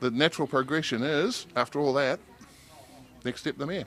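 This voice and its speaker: Someone with a New Zealand accent speaks at a moderate pace with lively intonation. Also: man. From New Zealand, King Country. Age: 60s. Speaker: local council candidate. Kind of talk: interview.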